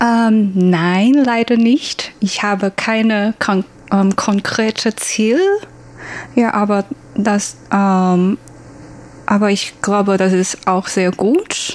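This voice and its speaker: Speaking at a very slow pace with long, frequent pauses, a woman with a Chinese accent keeps a medium pitch, fairly even intonation and very even loudness. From Taiwan. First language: Mandarin (speaking German). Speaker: former working holiday traveller. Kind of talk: interview. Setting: studio. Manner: halting, many fillers.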